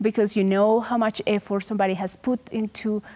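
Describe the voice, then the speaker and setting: Recorded very cleanly with a silent background and a dry, close sound with no echo, a woman speaks at a medium pitch in a dark, mellow tone. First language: not English. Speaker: assistant professor, scientist interviewing her mentor. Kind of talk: interview conversation.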